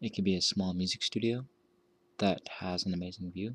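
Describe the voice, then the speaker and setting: A soft-spoken man with a very deep, low pitch, in a dry, close sound with no echo and a very clean recording with a silent background. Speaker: architect. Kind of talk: ASMR soft-spoken narration.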